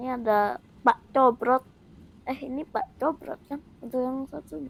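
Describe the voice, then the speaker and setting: The speech goes at a fairly slow pace with big swings in loudness and ordinary pitch variation. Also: woman, high pitch for a woman. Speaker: gaming youtuber. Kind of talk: gameplay commentary. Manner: casual, chatty.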